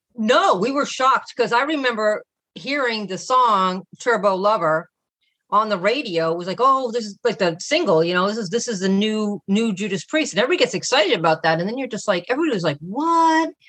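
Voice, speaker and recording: With an American accent, a woman talks at a fairly quick pace in a fairly high pitch, her voice making very wide pitch swings. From Boston, Massachusetts. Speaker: metal podcaster. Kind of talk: casual chat.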